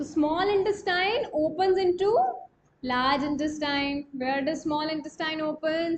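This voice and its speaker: A high-pitched woman's voice with a Marathi accent. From India. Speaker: online coaching teacher. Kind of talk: live online class. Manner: repetitive, explanatory.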